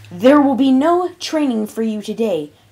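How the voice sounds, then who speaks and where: Using a put-on character voice, a female-sounding speaker with a high pitch talks at a moderate pace. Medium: read story. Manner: motherly, soft-spoken.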